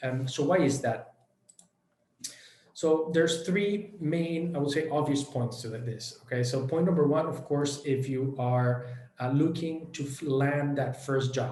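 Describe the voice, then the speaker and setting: A man speaks in a Spanish accent at a fairly slow pace, with ordinary pitch variation. Audible room echo surrounds his voice. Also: fairly high pitch for a man. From Venezuela. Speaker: education company director. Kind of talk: online workshop presentation. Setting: online event. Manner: many hesitations and fillers.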